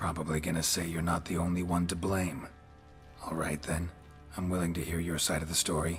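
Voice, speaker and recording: In a put-on character voice, a man speaks very deep and low at a fairly quick pace with monotone, flat intonation. Background noise is clearly audible. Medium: machinima. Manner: terse, deadpan.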